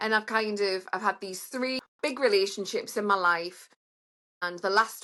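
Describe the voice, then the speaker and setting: Bright and sharp in tone, the voice has a British accent, a moderate pace and ordinary pitch variation. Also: woman. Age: middle-aged. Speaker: online dater. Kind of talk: casual chat.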